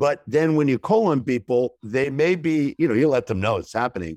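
A man talks at a fairly quick pace with lively intonation. The sound is dry and close, with no echo. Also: quiet background. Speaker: business communication consultant and author. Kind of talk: interview. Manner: fast.

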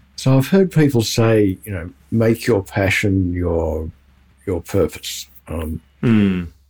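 This man has a very deep, low voice with a dark, mellow tone, somewhat breathy, with ordinary pitch variation. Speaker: podcast co-host. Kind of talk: interview.

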